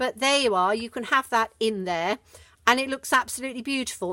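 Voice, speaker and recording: A dry, close sound with no echo, in a Surrey accent with ordinary pitch variation. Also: woman. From southern England, Surrey. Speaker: craft demonstrator. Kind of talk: tutorial. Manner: hesitant, many fillers.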